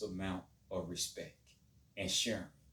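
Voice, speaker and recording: A man talks fairly slowly, his voice somewhat breathy. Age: 50s. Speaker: martial arts teacher. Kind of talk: monologue to camera.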